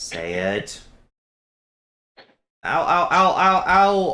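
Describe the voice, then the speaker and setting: A man speaks in a put-on character voice, pitched high. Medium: actual play.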